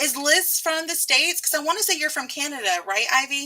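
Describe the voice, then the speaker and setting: In a raised, projected voice with a bright, sharp tone, the speaker swings very widely in pitch over a very clean recording with a silent background. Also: woman. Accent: American. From Texas. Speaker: romance writer and livestreamer. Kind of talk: casual livestream chat. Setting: livestream. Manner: rambling, animated.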